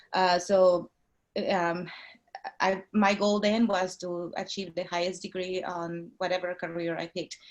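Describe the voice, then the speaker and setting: In a Mexican accent, a woman speaks at a medium pitch with monotone, flat intonation. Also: fairly slow pace. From Mexico. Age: 40s. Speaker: nurse anesthetist and real estate investor. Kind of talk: interview. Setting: video call. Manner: halting.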